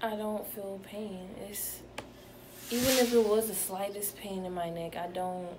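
A woman with an American accent, fairly even intonation, and noticeable background noise. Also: fairly slow pace. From Atlanta, Georgia, US South; Georgia. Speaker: patient. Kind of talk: testimony; personal testimonial. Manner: halting. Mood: calm, reflective. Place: home room. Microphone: phone near.

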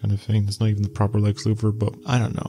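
Over faint music in the background, a soft-spoken man talks with a fairly low pitch. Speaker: YouTube news and entertainment commentator. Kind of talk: casual talk to camera, news commentary. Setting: late-night home recording. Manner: soft-spoken, ASMR style. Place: home room. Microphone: handheld.

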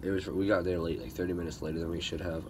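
Noticeable background noise sits under this recording. A man speaks with a very deep, low pitch. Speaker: hunting vlogger. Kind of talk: casual vlog chat. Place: open country. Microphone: phone near.

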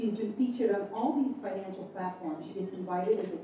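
Strong room echo and noticeable background noise surround the recording. A woman speaks with ordinary pitch variation. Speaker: event host introducing a speaker. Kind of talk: speech introduction. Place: hall.

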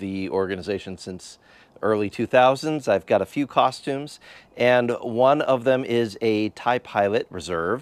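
In a dry sound with no echo, a man speaks at a fairly slow pace with ordinary pitch variation. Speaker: hobby YouTuber. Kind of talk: casual vlog chat. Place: garage. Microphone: lapel.

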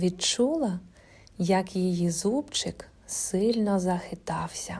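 Ordinary pitch variation accompanies this plain reading aloud.

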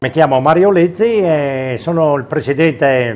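Lively intonation marks this man's speech, his pitch fairly high. He goes at a fairly slow pace. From Friuli, Italy. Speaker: butcher. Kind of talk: interview; interview answer. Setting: butcher shop. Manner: halting. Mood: calm, friendly. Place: shop.

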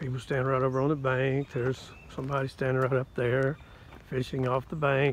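A man talks at a moderate pace. The sound is dry with no echo, and there is light background noise. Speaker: campground visitor vlogger. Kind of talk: casual vlog chat. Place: open country. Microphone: phone near.

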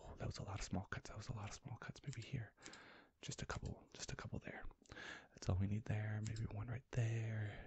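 A man whispers at a fairly quick pace. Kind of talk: ASMR roleplay narration. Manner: soft-spoken, low close ASMR voice. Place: home room.

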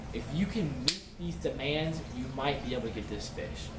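There is noticeable background noise. Through it, a man speaks at a fairly high pitch. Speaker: aquarium hobbyist YouTuber. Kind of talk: tutorial. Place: home room. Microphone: webcam.

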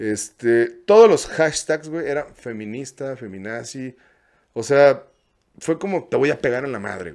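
Over a quiet background, a man at medium pitch talks at a fairly slow pace with lively intonation and big swings in loudness. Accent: Mexican. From Mexico. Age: 30s. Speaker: content creator and music video producer; content creator. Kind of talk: casual interview chat. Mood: casual, storytelling. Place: studio. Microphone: studio mic.

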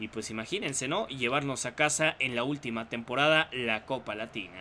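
The man's medium-pitched voice has a bright, sharp tone. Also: ordinary pitch variation, moderate pace. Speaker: gaming YouTuber. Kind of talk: gameplay commentary. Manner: hesitant, many fillers.

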